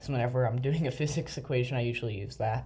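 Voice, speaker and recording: A man's somewhat breathy, dark, mellow voice at medium pitch, with fairly even intonation. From United States. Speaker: gaming video creator. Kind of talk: gameplay commentary. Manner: hesitant, many fillers.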